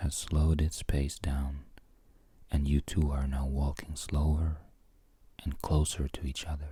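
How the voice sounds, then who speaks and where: The speaker is soft-spoken and goes at a fairly slow pace. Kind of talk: ASMR bedtime story narration. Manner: soft-spoken, relaxing.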